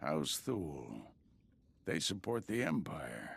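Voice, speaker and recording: Here a man does a put-on character voice, raspy and very deep with a very low pitch. He speaks at a very slow pace with very wide pitch swings. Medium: video game. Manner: calm, authoritative.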